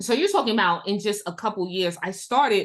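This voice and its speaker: A woman's animated, medium-pitched voice with an American accent. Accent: New York accent, noticeable over long talk. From New York City (Queens). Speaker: educational consultant and instructional coach. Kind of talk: webinar presentation. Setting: live online webinar.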